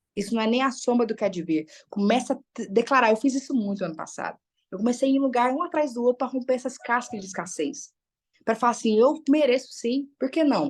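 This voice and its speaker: Over a quiet background, a woman speaks with an animated tone at a fairly quick pace, her high pitch showing ordinary variation. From Brazil, Minas Gerais (Uberlândia). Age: 30s. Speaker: psychologist and motivational speaker. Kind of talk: motivational talk in a live online group session.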